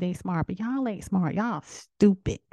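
A woman talks at a fairly quick pace. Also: dry, close sound with no echo. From South Carolina. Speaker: podcast host. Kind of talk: casual solo monologue. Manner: animated.

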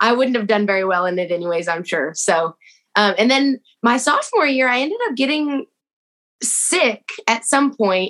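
A woman speaks in a high voice with lively intonation. Her pace is moderate. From Texas. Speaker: TikTok creator. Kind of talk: casual chat.

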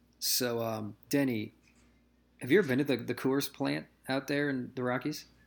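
A man with a Midwestern American accent, medium pitch, ordinary pitch variation and moderate pace, on a very clean recording with a silent background. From US Midwest. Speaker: podcast host. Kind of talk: casual chat.

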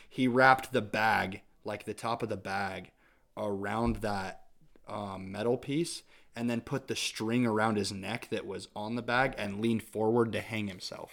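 In a very clean recording with a silent background, a man speaks in an ordinary speaking voice with an American accent. His pitch is fairly low, his pace fairly slow and his intonation fairly even. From Idaho, US. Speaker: musician. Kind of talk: casual interview.

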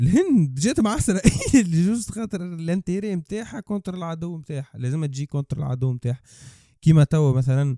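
A man in a Tunisian accent, high-pitched yet dark and mellow in tone, with lively intonation, big swings in loudness and a moderate pace, in a dry, close sound with no echo. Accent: Tunisian Arabic with French code-switching. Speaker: podcast co-host. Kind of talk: casual discussion.

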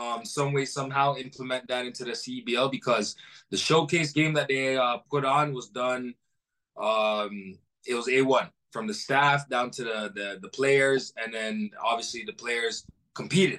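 A man speaks with a Toronto accent in a bright, sharp tone. His pace is fairly slow, and his pitch varies in an ordinary way. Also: medium pitch for a man. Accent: Toronto-area Canadian English. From Brampton, Ontario, Canada. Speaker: professional basketball player. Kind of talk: interview.

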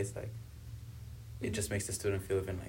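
A man's fairly low voice sounds somewhat breathy. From South Africa, born in Congo. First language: Swahili and Kibembe. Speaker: university student. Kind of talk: casual interview.

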